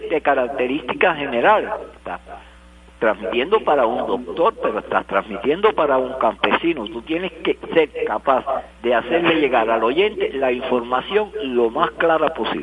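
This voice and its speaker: Over noticeable background noise, the speaker goes at a fairly slow pace with lively intonation. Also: man. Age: 70s. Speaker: retired radio director. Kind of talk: interview.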